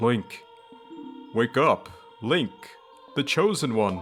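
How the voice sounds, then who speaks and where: A put-on character voice speaks very slowly with lively intonation. Clear music plays in the background. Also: man, medium pitch for a man. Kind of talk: video game voice acting. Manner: dramatic, gentle calling.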